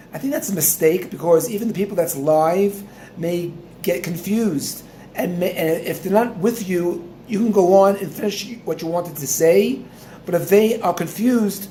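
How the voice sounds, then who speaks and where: A man with a high pitch talks at a moderate pace with ordinary pitch variation, amid noticeable background noise and audible room echo. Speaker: Torah teacher. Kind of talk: instructional talk. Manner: halting.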